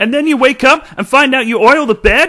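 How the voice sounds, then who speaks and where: A high-pitched, put-on character voice at a fairly quick pace. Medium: voice reel. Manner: eager, goofy.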